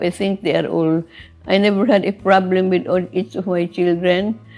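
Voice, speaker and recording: With music playing in the background, a woman speaks fairly slowly at a fairly low pitch and with fairly even intonation. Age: 90s. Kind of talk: interview answer. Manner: gentle, soft-spoken.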